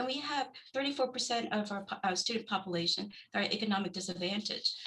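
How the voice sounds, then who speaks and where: Very fast speech from a woman at medium pitch, with ordinary pitch variation and noticeable background noise. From Vietnam. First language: Vietnamese. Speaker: school board trustee candidate. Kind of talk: candidate forum answer. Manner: halting.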